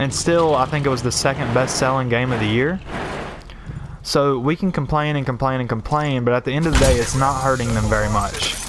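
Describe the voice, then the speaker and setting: A man talks fairly quickly with fairly even intonation while noticeable background noise carries on. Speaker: gaming YouTuber. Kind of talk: live gameplay commentary rant. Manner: casual, conversational.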